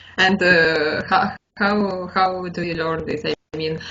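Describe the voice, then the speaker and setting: A woman's fairly low voice with a Russian accent and fairly even intonation. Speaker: English learner. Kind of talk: casual conversation practice. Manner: halting, many fillers.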